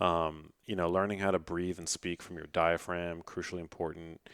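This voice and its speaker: On a very clean recording with a silent background, a man talks in a very deep, low pitch with monotone, flat intonation and a dry, close sound with no echo. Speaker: health and science journalist and author. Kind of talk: podcast interview. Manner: casual, many fillers.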